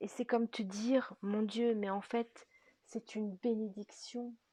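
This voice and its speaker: Soft-spoken and somewhat breathy, a woman speaks at a very slow pace with a fairly high pitch, a dark, mellow tone, and monotone, flat intonation. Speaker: spiritual guidance artist and energy healer. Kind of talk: spiritual guidance reading. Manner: slow, hesitant with fillers.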